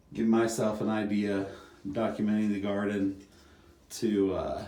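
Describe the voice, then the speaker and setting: A man's fairly low-pitched voice in monotone, flat intonation, at a fairly slow pace with audible room echo. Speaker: home gardener vlogger. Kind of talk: casual video tour narration. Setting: outdoors in garden. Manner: quiet; hesitant, many fillers.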